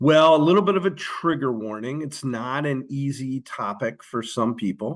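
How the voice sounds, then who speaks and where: Against a quiet background, a man with an American accent and a plain, everyday voice speaks at a medium pitch with ordinary pitch variation. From US, Philadelphia. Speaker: social worker and author. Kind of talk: podcast interview.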